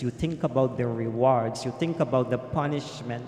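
Slightly mellow in tone, a man speaks at a fairly slow pace with ordinary pitch variation.

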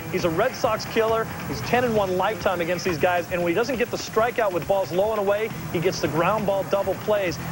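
High male voice at a fairly quick pace with ordinary pitch variation, clear music in the background. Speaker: baseball analyst. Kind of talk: sports analysis. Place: studio. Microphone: lapel.

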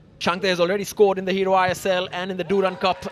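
Over noticeable background noise, a man speaks in a high pitch with an animated, excited tone. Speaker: football commentator. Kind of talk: football match commentary. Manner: fast, fluent.

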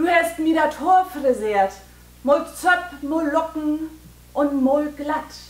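Room echo can be heard in this recording. The woman speaking goes at a very slow pace. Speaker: poet performing own poem. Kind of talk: poetry reading. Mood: warm, nostalgic, expressive. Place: hall. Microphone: camera far.

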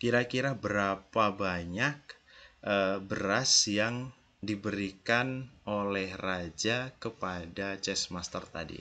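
Speech moves at a very slow pace with ordinary pitch variation. The tone is bright and sharp. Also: man, fairly low pitch for a man. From Indonesia, Yogyakarta; Indonesia. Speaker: university lecturer. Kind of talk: recorded lecture. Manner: casual, conversational. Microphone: headset.

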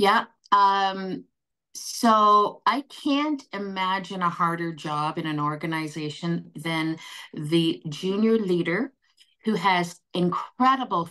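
A woman's fairly low voice with a bright, sharp tone, a Canadian accent, ordinary pitch variation and a quiet background. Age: 60s. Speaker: nursing association CEO; guest. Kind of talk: panel discussion. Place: home room. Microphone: video call.

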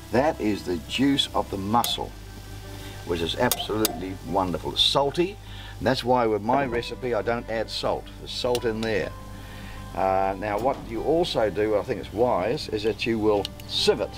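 Clear music sounds behind the voice. A man talks at a moderate pace. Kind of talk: tutorial. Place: waterside.

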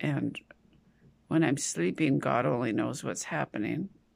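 Vocal fry colors the voice, and the pitch swings very widely. The background is quiet. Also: woman. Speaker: vlogger sharing a personal health update. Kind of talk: casual vlog chat. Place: home room. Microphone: phone near.

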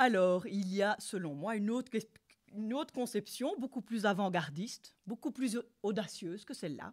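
Somewhat breathy speech with lively intonation, a moderate pace and a quiet background. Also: woman. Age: 50s. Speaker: sex therapist and couples therapist. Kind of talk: lecture. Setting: university lecture hall with audience. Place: hall. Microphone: podium.

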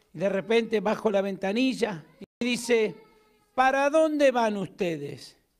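Against a quiet background, a man with an Argentine accent speaks in an animated tone with lively intonation. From Argentina. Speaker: pastor. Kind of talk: sermon. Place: church. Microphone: handheld.

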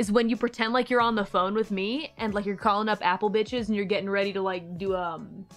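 Speech in an American accent rushes at a very fast pace with hardly any pauses. The intonation stays fairly even, and faint music plays in the background. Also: woman. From Texas. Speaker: streamer. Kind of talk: casual talk on stream. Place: home room. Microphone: studio mic.

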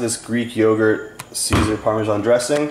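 Fairly low male voice with fairly even intonation, audible room echo and light background noise. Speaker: fitness vlogger. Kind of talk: casual vlog chat. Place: kitchen. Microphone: phone near.

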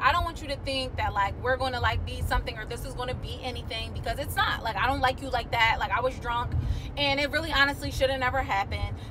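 Talking very rapidly, a woman is heard with clear background noise behind her. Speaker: vlogger. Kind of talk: casual vlog chat. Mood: animated, amused storytelling. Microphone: phone near.

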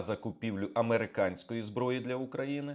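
In a normal speaking voice, a man talks at a moderate pace and medium pitch with ordinary pitch variation, on a very clean recording with a silent background. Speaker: military analyst. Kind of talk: news briefing monologue.

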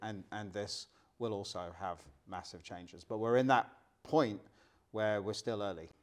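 A man's fairly low voice at a moderate pace, with ordinary pitch variation and big swings in loudness over a quiet background. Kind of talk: interview answer. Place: studio.

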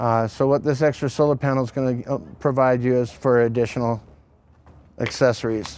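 The sound is dry with no echo. A man speaks fairly quickly, his pitch varying in an ordinary way. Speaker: RV salesperson. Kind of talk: product walkaround presentation. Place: street. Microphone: lapel.

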